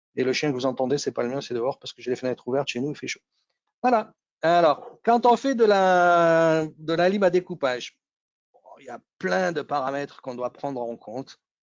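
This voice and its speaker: Lively intonation from a man at a moderate pace. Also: big swings in loudness. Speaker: electronics engineer presenting webinar. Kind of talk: technical webinar presentation. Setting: home with windows open, online webinar. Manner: casual, many hesitations.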